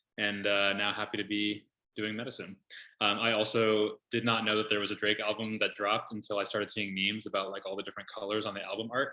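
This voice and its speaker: A man's fairly low voice in a Californian accent, flat and monotone, at a very fast pace. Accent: American, Californian. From Southern California, Los Angeles. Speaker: medical resident, former teacher. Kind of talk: casual introductions on video call.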